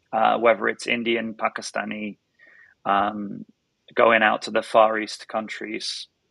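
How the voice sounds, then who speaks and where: A man's fairly slow delivery with a British accent. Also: dry, close sound with no echo. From northern England. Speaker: startup founder and CEO. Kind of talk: podcast interview. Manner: halting, many repetitions.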